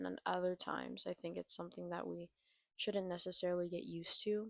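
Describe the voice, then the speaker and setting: The speech is soft-spoken and fairly quick, with a dry, close sound and no echo. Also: woman. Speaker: vlogger. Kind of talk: reflective monologue. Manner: quiet.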